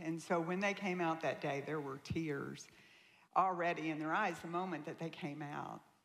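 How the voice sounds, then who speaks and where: Her pitch is very deep and low, and she speaks in a Southern accent. The woman's intonation stays fairly even. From US South, Tennessee. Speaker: guest speaker sharing her life story. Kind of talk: testimony.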